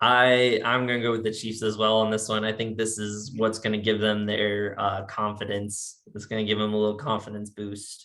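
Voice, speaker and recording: Showing a slight Virginia accent, a man with a fairly low pitch speaks in a monotone, flat intonation with hardly any pauses. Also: moderate pace. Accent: slight Virginia twang. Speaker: sports podcast host. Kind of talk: casual chat.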